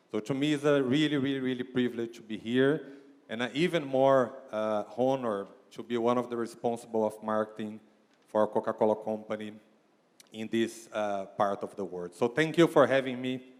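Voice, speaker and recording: A man with a Brazilian accent at medium pitch, with ordinary pitch variation and a moderate pace, on a very clean recording with a silent background. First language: Portuguese. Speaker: marketing executive. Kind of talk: keynote speech. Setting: stage with audience. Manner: repetitive, hesitant phrasing.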